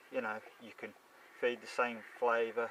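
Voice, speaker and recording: The speaker has a Shropshire accent. Noticeable background noise can be heard. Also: man. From Shropshire, England. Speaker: carp angler. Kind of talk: casual fishing video diary to camera. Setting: outdoors.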